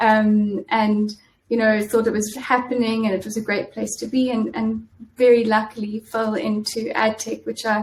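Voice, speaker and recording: In a South African accent, a woman talks at a moderate pace with a fairly high, somewhat breathy voice and monotone, flat intonation. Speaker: in-house lawyer. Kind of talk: interview. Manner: halting, many fillers.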